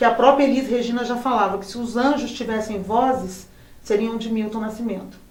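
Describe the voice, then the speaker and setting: A woman speaks at a high pitch and a fairly quick pace, with ordinary pitch variation. Noticeable background noise runs underneath. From Brazil, São João del Rei, Minas Gerais. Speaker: singer. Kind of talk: interview. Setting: studio.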